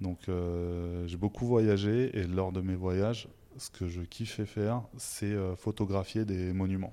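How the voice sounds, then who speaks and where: On a very clean recording with a silent background, a man with a fairly low pitch and a dark, mellow tone speaks very slowly with fairly even intonation. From France, Haute-Savoie. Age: 30s. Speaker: artist and graphic designer. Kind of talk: interview.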